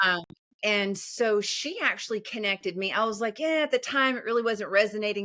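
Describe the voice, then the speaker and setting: A woman speaks with a Southern US accent at a fairly high pitch. Her tone is bright and sharp. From US South. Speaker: empowerment coach. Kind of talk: podcast interview. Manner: animated.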